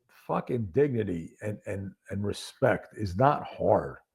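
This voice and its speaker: A man's somewhat breathy voice at a very slow pace, with lively intonation. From upstate New York. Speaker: former police detective and accident survivor. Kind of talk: podcast interview.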